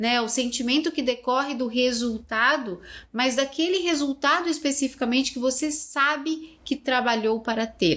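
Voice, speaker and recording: Against a quiet background, a woman speaks at a high pitch with ordinary pitch variation. Her pace is moderate, with hardly any pauses. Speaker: podcast co-host. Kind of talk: casual chat.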